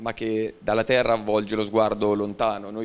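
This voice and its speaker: A man's moderate-paced speech comes with light background noise. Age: 20s. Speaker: university student and young professional; guest. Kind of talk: talk to school assembly. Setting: school assembly hall with audience. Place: hall. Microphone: handheld.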